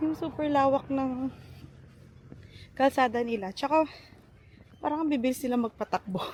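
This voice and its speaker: A woman with a high voice talks at a moderate pace. She pauses long and often, and her pitch moves in an ordinary way. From Philippines. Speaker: vlogger and teacher. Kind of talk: casual vlog. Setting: outdoors.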